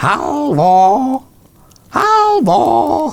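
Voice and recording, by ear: In a put-on character voice, the high, shrill speech swings very widely in pitch.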